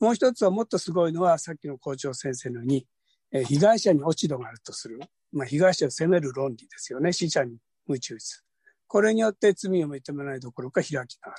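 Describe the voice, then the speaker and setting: In a normal speaking voice, a man talks at a fairly quick pace with fairly high pitch, lively intonation and big swings in loudness, recorded dry and close with no echo against a quiet background. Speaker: workshop participant asking question. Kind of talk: question to speakers. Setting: video call.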